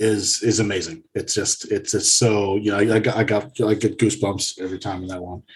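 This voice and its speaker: A man with an American accent talks at a fairly quick pace with hardly any pauses, his fairly low, somewhat breathy voice keeping a fairly even intonation. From United States. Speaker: music podcaster, returning guest. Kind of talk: casual chat.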